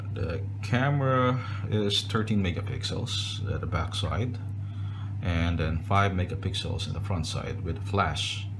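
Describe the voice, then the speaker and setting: Noticeable background noise runs through the clip. The speaker moves at a fairly slow pace. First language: non-native English speaker. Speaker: phone reviewer. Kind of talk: casual talk to camera. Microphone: phone near.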